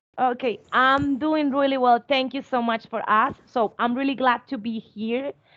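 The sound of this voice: Speaking at a moderate pace, a woman with a high pitch and a fairly bright tone keeps her intonation fairly even.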